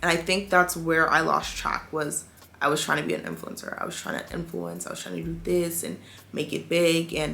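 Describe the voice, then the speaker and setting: Over noticeable background noise, a woman with an American accent talks at a fairly quick pace with big swings in loudness. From DMV area (DC, Maryland, Virginia). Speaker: beauty and lifestyle content creator. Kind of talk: casual talk to camera.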